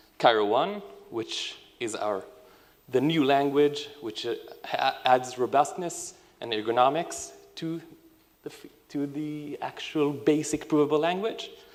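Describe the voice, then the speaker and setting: A man talks at a fairly slow pace and a fairly high pitch with ordinary pitch variation. He leaves long, frequent pauses, and his loudness swings widely. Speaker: software engineering team lead. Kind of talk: conference talk.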